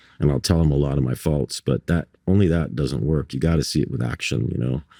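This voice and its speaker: In a dry, close sound with no echo, a man with a very deep, low pitch and dark, mellow tone talks very fast with ordinary pitch variation. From Barbados. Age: 60s. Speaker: artist. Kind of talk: casual interview chat. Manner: halting, many repetitions and fillers.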